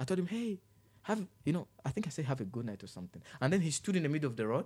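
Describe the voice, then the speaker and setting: Very fast and fairly high-pitched, a man with an African accent speaks with very wide pitch swings. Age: 20s. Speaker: youth worker and public speaker. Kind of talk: casual interview. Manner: charismatic.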